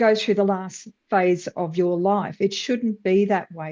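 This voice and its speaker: A woman talks at a moderate pace in a medium pitch with a dark, mellow tone. The background is quiet. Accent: Australian. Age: 60s. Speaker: webinar participant. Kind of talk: casual discussion.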